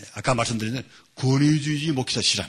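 A man with a North Korean accent speaks at a moderate pace and medium pitch. His voice is somewhat breathy. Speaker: pastor and lecturer on North Korea mission. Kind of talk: lecture. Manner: animated.

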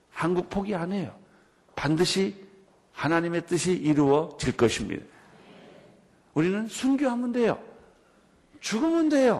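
At a fairly slow pace, a high-pitched man speaks with very wide pitch swings and long, frequent pauses. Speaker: pastor. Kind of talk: sermon.

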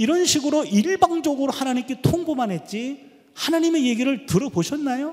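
Over noticeable background noise, a man talks at a moderate pace with lively intonation and an extremely high pitch. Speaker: Old Testament professor preaching. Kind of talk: sermon.

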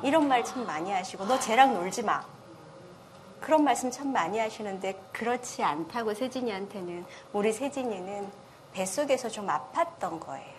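At a moderate pace, a woman with a fairly high pitch and lively intonation speaks with big swings in loudness, amid audible room echo and noticeable background noise. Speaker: mother of athlete. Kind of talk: interview. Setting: stage with audience.

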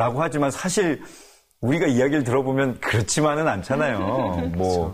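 A man with vocal fry speaks at a medium pitch and moderate pace, his pitch swinging very widely. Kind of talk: casual interview. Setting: studio.

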